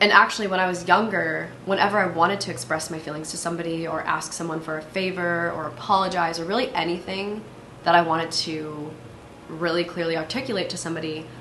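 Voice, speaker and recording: Through noticeable background noise and audible room echo, a woman with a fairly low pitch speaks at a very fast pace, with ordinary pitch variation and big swings in loudness. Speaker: solo podcast host. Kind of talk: casual monologue. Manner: fast, filler-heavy.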